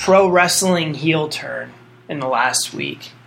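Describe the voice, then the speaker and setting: There is noticeable background noise. A man speaks at a high pitch. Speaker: podcast co-host. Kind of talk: casual podcast chat.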